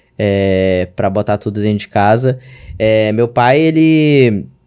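Ordinary pitch variation from a man, with a quiet background. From Brazil, interior of Maranhão. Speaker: digital marketing entrepreneur; podcast guest. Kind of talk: casual chat. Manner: animated. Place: studio. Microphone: studio mic.

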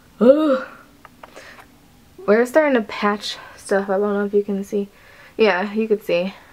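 A woman with an American accent speaks at a very slow pace and a fairly high pitch. Her intonation is lively, and noticeable background noise can be heard. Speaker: vlogger. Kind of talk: casual vlog. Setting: at home.

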